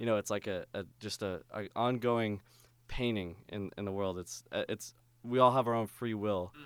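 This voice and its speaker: A man's fairly low voice, an ordinary speaking voice, at a moderate pace with fairly even intonation on a very clean recording with a silent background. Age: 20s. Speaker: youth minister and drummer. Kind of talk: casual chat.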